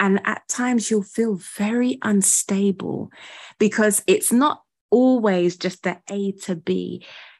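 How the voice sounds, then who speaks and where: Speaking very slowly, the woman talks with a British accent. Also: medium pitch for a woman, ordinary pitch variation. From UK. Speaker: ministry founder and primary school teacher. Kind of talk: interview conversation.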